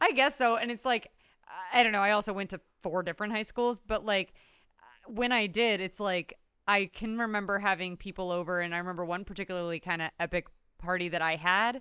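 In a very clean recording with a silent background, a woman speaks at a fairly quick pace in an animated, bright, sharp tone at a medium pitch. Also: ordinary pitch variation. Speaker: podcast co-host. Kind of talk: casual chat.

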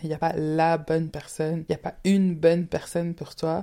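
Here a woman speaks with a dark, mellow tone. Her pitch is fairly low. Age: 20s. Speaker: podcast host. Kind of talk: solo monologue. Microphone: new microphone.

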